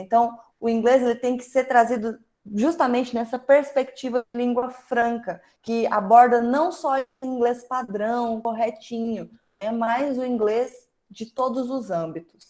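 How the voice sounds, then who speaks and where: A woman's high-pitched voice with a dark, mellow tone, fairly even intonation and a fairly slow pace. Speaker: teacher leading an online workshop. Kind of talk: online workshop lecture.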